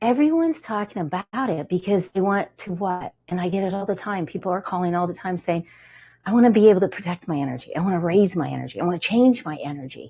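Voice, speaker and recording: A woman speaks very fast at a medium pitch, somewhat breathy, with an animated tone and lively intonation. The background is quiet. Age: 60s. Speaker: TV show host. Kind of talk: TV show monologue. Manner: halting.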